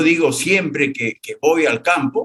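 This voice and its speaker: A man at a fairly slow pace. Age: 70s. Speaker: former regional governor and farmer. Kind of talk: interview.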